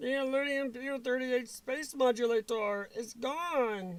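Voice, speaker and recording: Someone in a put-on character voice talks fairly slowly at a fairly high pitch. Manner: cartoonish impression, admittedly off.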